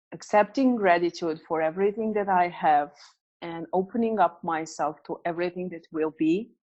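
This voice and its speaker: A woman's fairly low voice with a non-native accent, moderate pace, ordinary pitch variation and big swings in loudness against a quiet background. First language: not English. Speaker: business coach and author. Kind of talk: interview. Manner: hesitant, many fillers.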